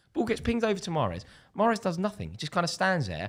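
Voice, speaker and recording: Here a man talks with a London accent. His pace is very fast. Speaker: football YouTuber. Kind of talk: casual chat. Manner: animated.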